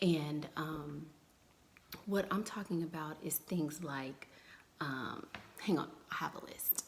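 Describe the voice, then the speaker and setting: A soft-spoken woman with a very deep, low pitch and ordinary pitch variation, at a very slow pace with long, frequent pauses. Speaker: dating advice vlogger. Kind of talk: casual live stream chat. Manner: soft-spoken, low and muted; chatty, loose.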